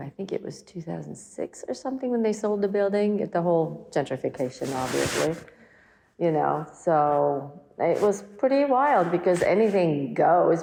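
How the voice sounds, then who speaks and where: Against noticeable background noise, a woman speaks at a moderate pace, her fairly low voice carrying lively intonation. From Germany. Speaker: artist and community activist. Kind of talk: oral history interview answer.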